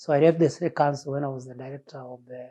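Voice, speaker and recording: A man with a fairly high voice speaks at a moderate pace, somewhat breathy, in a dark, mellow tone with monotone, flat intonation. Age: 60s. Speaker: retired urban planner. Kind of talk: interview testimony.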